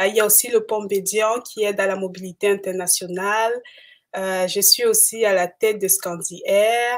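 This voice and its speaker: On a very clean recording with a silent background, a woman speaks at a moderate pace in a medium pitch with monotone, flat intonation. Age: 30s. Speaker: entrepreneur. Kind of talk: live interview. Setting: livestream.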